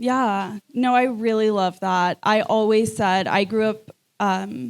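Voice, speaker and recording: A woman speaks at a very slow pace and fairly high pitch, with ordinary pitch variation and very even loudness. The recording is very clean with a silent background, and the sound is dry and close with no echo. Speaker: podcast co-host. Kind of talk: live podcast conversation. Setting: stage with live audience.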